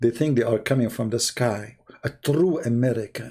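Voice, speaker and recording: A man with an Arabic accent, a dark, mellow, somewhat breathy tone and a moderate pace. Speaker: religious debate livestreamer. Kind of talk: livestream commentary. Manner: animated.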